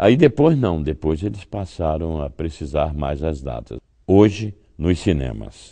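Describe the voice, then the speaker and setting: Against a quiet background, a man with a very deep, low voice and a dark, mellow tone speaks fairly slowly with lively intonation. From Brazil. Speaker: voice actor. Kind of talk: interview answer. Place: hall.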